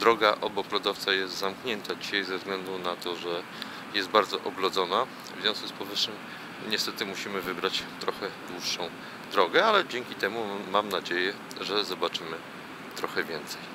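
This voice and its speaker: A man speaks at a moderate pace in a fairly low, flat monotone. Noticeable background noise runs underneath. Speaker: travel vlogger. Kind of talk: travel vlog narration. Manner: soft-spoken.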